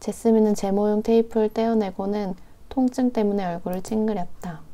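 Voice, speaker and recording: On a very clean recording with a silent background, a woman's fairly high voice has a dark, mellow tone and fairly even intonation. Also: moderate pace. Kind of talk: novel reading. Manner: soft-spoken, quiet.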